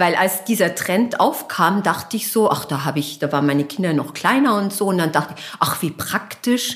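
The speech moves at a moderate pace with hardly any pauses and lively intonation. Background noise is noticeable. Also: woman, medium pitch for a woman. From Bavaria, Germany. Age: 50s. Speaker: fashion entrepreneur. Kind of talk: interview conversation. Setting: at her home.

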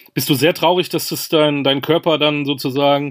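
A man with a fairly high pitch. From Münster, Germany. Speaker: podcast host. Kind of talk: interview.

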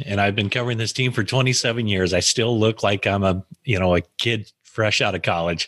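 A man speaks with an American accent in a normal speaking voice, fairly low in pitch. His pace is moderate, his loudness very even and his intonation fairly even. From US. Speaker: sports journalist. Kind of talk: interview.

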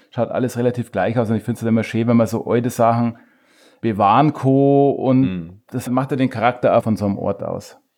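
In a very clean recording with a silent background, a man with a plain, everyday voice speaks at a fairly quick pace, medium in pitch with fairly even intonation. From Chiemgau, Bavaria, Germany. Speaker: beard-care product maker. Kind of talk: casual interview. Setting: host's living room.

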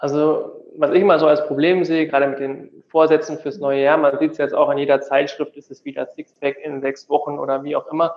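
Barely pausing, a man with a fairly high voice speaks fairly quickly in a monotone, flat intonation, with big swings in loudness. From North Rhine-Westphalia, Tecklenburg. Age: 20s. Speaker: physiotherapist. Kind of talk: interview.

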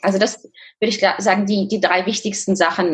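A woman talks fairly slowly in an ordinary speaking voice. Her intonation is fairly even. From Kazakhstan. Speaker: fitness and nutrition coach. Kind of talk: interview.

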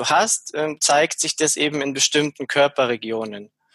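The speech comes at a very slow pace, with a dry, close sound and no echo. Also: man. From Bavaria, Munich area. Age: 40s. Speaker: shaman. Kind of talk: interview. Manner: hesitant, frequent fillers.

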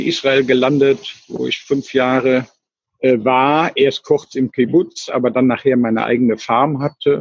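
A man with a medium pitch talks at a moderate pace with fairly even intonation. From Germany, Cologne. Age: 60s. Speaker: retired traveller living in a motorhome. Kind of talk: casual interview. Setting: remote call over the internet. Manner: halting, with many fillers and repetitions. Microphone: weak internet connection, dropout midway.

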